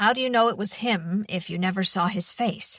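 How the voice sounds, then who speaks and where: A woman's put-on character voice, growling yet calm in tone, at medium pitch with ordinary pitch variation and a moderate pace. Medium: read story. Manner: calm, measured.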